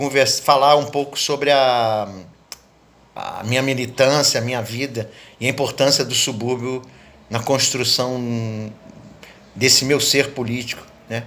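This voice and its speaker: A man speaks at a fairly slow pace, leaving long, frequent pauses. His medium-pitched delivery is monotone and flat. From Brazil, Rio de Janeiro (Leopoldina suburbs). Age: 70s. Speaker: poet and cultural activist. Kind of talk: interview monologue, reminiscing.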